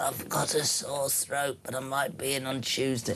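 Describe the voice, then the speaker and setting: A man puts on a croaky character voice at medium pitch and a moderate pace. Clear background noise can be heard. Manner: fake croaky sick voice.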